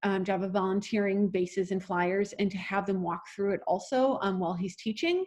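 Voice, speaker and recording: The voice belongs to a woman. It has a medium pitch. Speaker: acro yoga teacher trainer. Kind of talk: online class lecture. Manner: fast.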